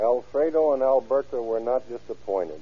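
Lively intonation marks this man's medium-pitched voice, delivered at a moderate pace.

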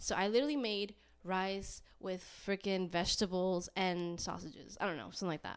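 A woman with an American accent speaks at a moderate pace in a plain, everyday voice, her medium pitch showing ordinary variation. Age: 20s. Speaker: podcast host. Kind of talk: casual chat.

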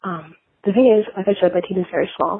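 A woman speaks quietly at a fairly quick pace. Her pitch is medium. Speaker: caller, tech company employee. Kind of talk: voicemail message. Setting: phone call from office. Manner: speaking very quietly.

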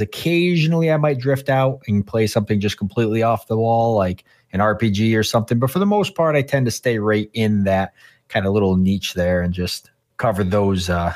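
On a very clean recording with a silent background, a man speaks at a fairly quick pace with fairly low pitch, ordinary pitch variation and very even loudness. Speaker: content creator. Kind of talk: casual interview chat.

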